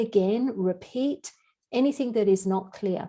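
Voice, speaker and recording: Fairly high in pitch, a woman with an Australian accent has a dark, mellow tone and ordinary pitch variation. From Australia, Sydney beach suburbs. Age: 60s. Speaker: health and wellness teacher. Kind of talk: online class. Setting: video call.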